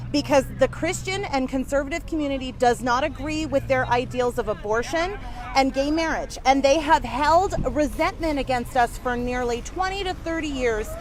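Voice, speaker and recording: Loud and animated, a woman speaks at a high pitch and a moderate pace with ordinary pitch variation, while noticeable background noise sits behind her. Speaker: activist group regional leader. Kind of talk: casual chat.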